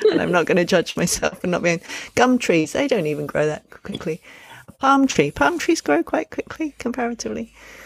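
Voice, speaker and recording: Recorded very cleanly against a silent background with a dry, close sound and no echo, a woman talks at a moderate pace with very wide pitch swings. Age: 50s. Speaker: podcast co-host, parenting educator. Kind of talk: casual chat.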